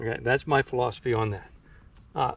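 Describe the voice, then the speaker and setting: The voice is somewhat breathy and moves at a moderate pace. Its pitch variation is ordinary. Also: man. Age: 60s. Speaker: trapper. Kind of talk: tutorial. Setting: outdoors. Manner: casual, halting.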